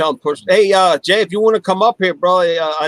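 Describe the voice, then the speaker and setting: A man's dry, close sound with no echo, in an American accent. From Calvert County, Maryland. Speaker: podcast host. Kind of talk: casual chat.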